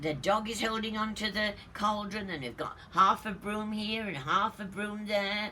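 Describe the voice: What we hear is plain reading aloud.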